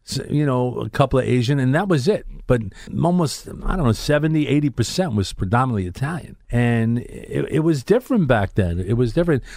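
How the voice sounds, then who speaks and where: This man speaks in a Brooklyn accent. His pitch is medium and his intonation lively. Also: moderate pace. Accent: New York (Brooklyn). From Brooklyn, New York (Bensonhurst). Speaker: radio host. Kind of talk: casual chat. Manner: animated.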